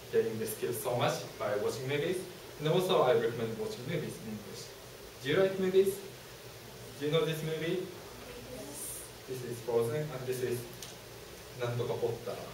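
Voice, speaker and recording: With a Japanese accent, a man speaks at a fairly quick pace in a fairly high pitch, leaving long, frequent pauses, with audible room echo and noticeable background noise. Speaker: university student presenter. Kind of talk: student presentation. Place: classroom. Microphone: camera far.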